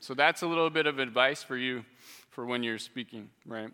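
Speaking at a medium pitch, a man sounds animated in a bright, sharp tone. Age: 30s. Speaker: biology professor. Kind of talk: lecture.

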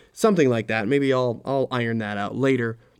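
A man talks at a fairly quick pace in a monotone, flat delivery. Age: 30s. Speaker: podcast host. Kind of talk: casual monologue.

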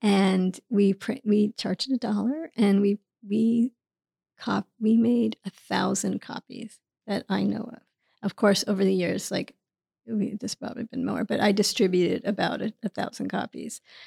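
Using vocal fry, a woman with a New York accent speaks at a moderate pace and medium pitch, her tone dark and mellow, her intonation fairly even, in a dry, close sound with no echo. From New York City, Queens. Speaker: author and producer. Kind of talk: interview conversation. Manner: halting.

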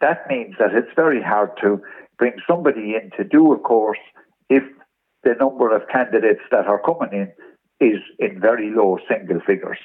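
A man with an Irish accent at a moderate pace. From Ireland. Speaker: former football league official. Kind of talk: radio interview.

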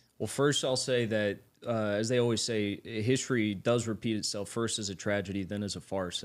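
This man has an ordinary speaking voice at medium pitch. He talks at a fairly quick pace. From United States. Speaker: political commentator. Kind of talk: casual chat.

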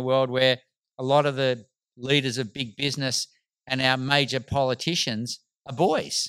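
A man of medium pitch with an Australian accent. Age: 50s. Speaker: medical doctor and rites of passage facilitator. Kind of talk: casual chat.

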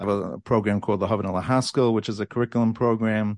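An American accent comes through. The background is quiet. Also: man. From Borough Park, Brooklyn, New York. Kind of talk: interview.

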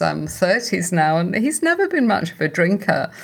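A woman with a British accent talks at a moderate pace in a medium pitch. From United Kingdom. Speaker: podcast host, founder of sobriety community. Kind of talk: scripted narration; interview.

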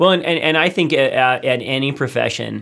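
Here is a man with an ordinary speaking voice. He keeps a moderate pace and ordinary pitch variation. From US South, then Hawaii. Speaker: creative agency founder, designer. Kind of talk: casual studio interview. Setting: studio.

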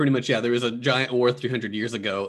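Man's voice at medium pitch with a bright, sharp tone. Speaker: anime podcast co-host. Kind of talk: casual chat. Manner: hesitant, many filler words.

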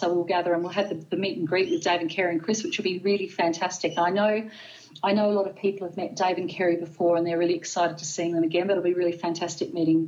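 Her pace is very fast. The woman speaks at a fairly low pitch with an Australian accent. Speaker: podcast guest, pagan event organizer. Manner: fast talker, excitable; fast talker.

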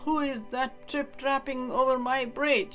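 A female-sounding voice performs a put-on character voice, raised and projected, while music plays clearly in the background. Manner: menacing, demanding.

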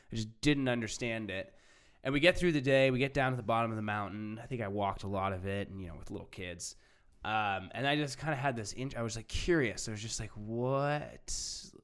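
A man talks at a fairly quick clip in a plain, everyday voice. His pitch sits in the middle range. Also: ordinary pitch variation, big swings in loudness. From Orange County, California. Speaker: podcast host. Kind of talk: casual chat.

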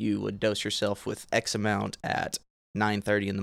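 Speaking at a moderate pace, this voice comes with a Southern US accent. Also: man. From Arkansas. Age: 20s. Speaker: cannabis industry worker. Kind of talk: casual chat. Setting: outdoors.

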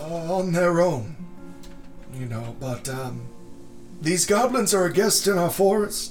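Doing a put-on character voice, a man speaks at a high pitch and fairly slow pace with clear music in the background. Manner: polite, apologetic, rambling.

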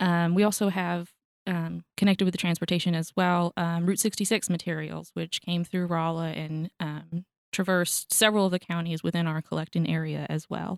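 A woman speaks in a fairly low voice. Her intonation stays flat and monotone. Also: moderate pace. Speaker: archivist. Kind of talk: interview. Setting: studio.

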